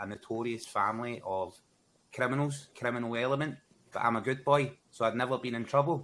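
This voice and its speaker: The voice carries a bright, sharp tone in a Glasgow accent. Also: man. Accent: Scottish (Glaswegian). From Scotland, Glasgow. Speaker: gaming content creator. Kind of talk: casual chat.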